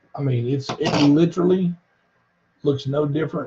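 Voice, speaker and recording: A man speaks with a dark, mellow tone that is somewhat breathy, at a moderate pace with fairly even intonation. Noticeable background noise is present. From US South. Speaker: health product reviewer. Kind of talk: live stream demonstration.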